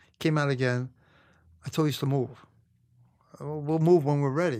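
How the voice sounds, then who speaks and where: A man with a Brooklyn accent, medium pitch and ordinary pitch variation, on a very clean recording with a silent background. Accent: New York (Brooklyn). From New York, Brooklyn (Canarsie). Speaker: retired police detective. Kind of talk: casual interview storytelling.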